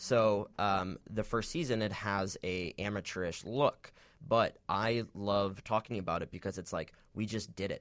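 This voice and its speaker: A man uses a normal speaking voice with an American accent, fairly low in pitch with fairly even intonation. He keeps a moderate pace in a very clean recording with a silent background. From Michigan, Detroit area. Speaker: web series producer and actor. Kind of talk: casual interview.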